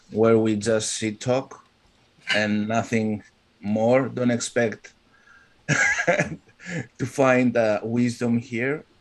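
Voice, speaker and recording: A man with a Greek accent speaks at a very slow pace with fairly even intonation, over noticeable background noise. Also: medium pitch for a man. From Greece. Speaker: live stream host. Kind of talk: casual chat. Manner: halting.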